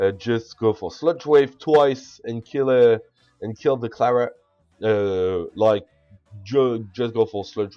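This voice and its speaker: With music in the background, a man with a French accent speaks at a very slow pace and medium pitch. His pitch varies in an ordinary way, while his loudness swings widely. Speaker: video game commentator. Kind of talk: gameplay commentary. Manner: halting.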